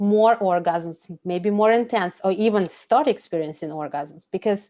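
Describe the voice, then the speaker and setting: A woman with a Russian accent, medium pitch, ordinary pitch variation and a moderate pace, on a very clean recording with a silent background. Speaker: food and pleasure coach. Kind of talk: podcast interview. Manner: animated.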